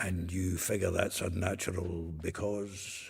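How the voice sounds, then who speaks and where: A man uses a put-on character voice, very deep and low in pitch. He speaks fairly slowly with monotone, flat intonation. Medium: video game. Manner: blunt, hearty.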